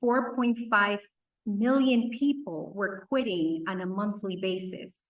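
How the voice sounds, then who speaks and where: A woman with a medium pitch for a woman talks fairly slowly, her pitch varying normally. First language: not English (English is third language). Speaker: workforce development leader. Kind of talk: conference presentation.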